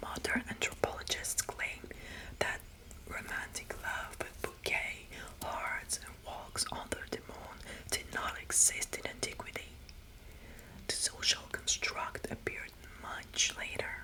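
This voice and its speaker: Whispering at a fairly slow pace with long, frequent pauses, the voice comes through noticeable background noise. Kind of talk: whispered ASMR mythology talk. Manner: whispered; soothing, friendly.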